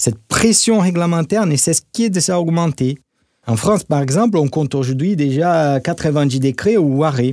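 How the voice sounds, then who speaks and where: With a Brazilian accent, a man speaks at a moderate pace in a fairly high pitch with lively intonation. His tone is dark and mellow, and the recording is very clean with a silent background. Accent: Brazilian accent, melodic. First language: Portuguese (speaking French). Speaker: corporate marketing director, expert guest. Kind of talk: podcast interview.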